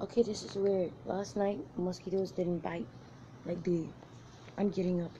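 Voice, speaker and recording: Over light background noise, a woman speaks in a fairly low, somewhat breathy voice with a dark, mellow tone, at a fairly slow pace with ordinary pitch variation. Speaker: vlogger. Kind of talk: casual vlog chat. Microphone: phone near.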